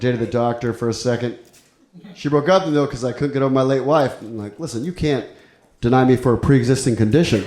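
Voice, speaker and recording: A man rattles along at a very fast pace, his voice carrying audible room echo. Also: medium pitch for a man, ordinary pitch variation. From Ecuador and El Salvador. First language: Spanish. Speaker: stand-up comedian. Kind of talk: stand-up. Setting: stage with audience.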